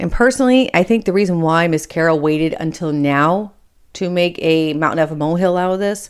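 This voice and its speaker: Captured on a very clean recording with a silent background, a woman with an American accent speaks in a fairly low pitch with ordinary pitch variation. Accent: Michigan accent, Appalachian coming through. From Michigan, with Appalachian Kentucky family. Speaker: podcast host. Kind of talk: political commentary monologue. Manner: casual, conversational.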